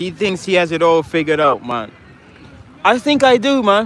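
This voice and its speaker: This man has an animated tone and a high pitch. He talks at a moderate pace. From Trinidad. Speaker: livestreamer. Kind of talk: livestream commentary.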